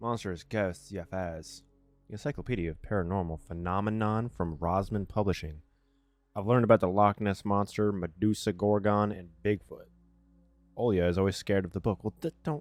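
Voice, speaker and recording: A man at a fairly quick pace and fairly low pitch with ordinary pitch variation, with music in the background. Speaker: gaming video creator. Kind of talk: let's play reading of a visual novel with commentary. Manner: fast, some stuttering.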